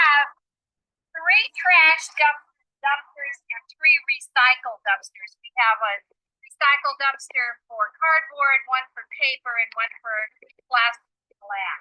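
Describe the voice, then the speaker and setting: The voice is raised and projected, with a bright, sharp tone and lively intonation at a very slow pace. Loudness swings widely, and the sound is dry and close with no echo. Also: woman, high pitch for a woman. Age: 60s. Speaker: interviewee in documentary video. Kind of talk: casual on-camera interview.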